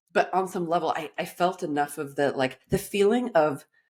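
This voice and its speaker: Here a woman speaks in an animated tone at a moderate pace. Her pitch varies in an ordinary way. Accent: American. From Los Angeles, US. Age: 40s. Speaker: life coach. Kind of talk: podcast interview.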